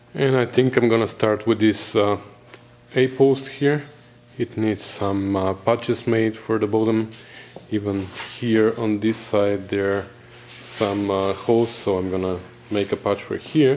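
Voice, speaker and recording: A man with a Bulgarian accent, fairly low in pitch and fairly even in intonation, at a fairly slow pace with long, frequent pauses, against noticeable background noise. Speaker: car restorer. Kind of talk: tutorial; voiceover narration.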